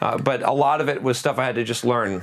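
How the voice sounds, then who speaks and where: A man's speech at a very fast pace. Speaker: software developer and online course creator. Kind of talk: casual monologue to camera. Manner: animated.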